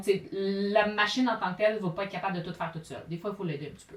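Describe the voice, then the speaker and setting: A woman speaks at a very fast pace with a Quebec accent, her voice at a medium pitch. Noticeable background noise runs under the recording. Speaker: sewing teacher and YouTuber. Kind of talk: casual interview.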